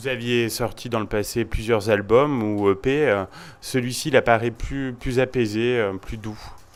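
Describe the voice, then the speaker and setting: This man has an unremarkable speaking voice at medium pitch, with fairly even intonation and a fairly slow pace. The recording is very clean, with a silent background. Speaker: radio host. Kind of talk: interview questions.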